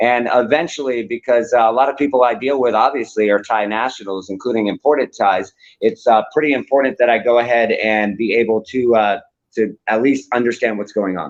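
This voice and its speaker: This is a man with an American accent. His voice sits at a medium pitch. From US (Florida and Texas). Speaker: news website co-owner. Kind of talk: live interview. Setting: live stream. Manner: animated.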